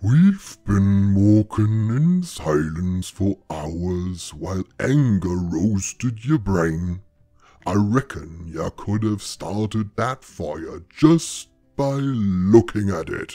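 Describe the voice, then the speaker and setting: A man puts on a character voice, speaking very slowly at a fairly low pitch. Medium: read story. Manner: blunt, gruff, dry.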